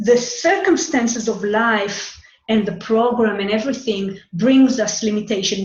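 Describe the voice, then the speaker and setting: Speaking with an Israeli accent, a woman has a fairly high pitch and ordinary pitch variation at a fairly slow pace. Noticeable background noise can be heard. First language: Hebrew. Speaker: human design astrology teacher. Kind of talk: monologue talk. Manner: halting, with repetitions.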